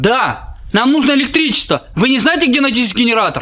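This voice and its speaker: Someone uses a put-on character voice with a high pitch, talking at a fairly quick pace over light background noise. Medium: comedy sketch. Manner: falsely polite, ingratiating.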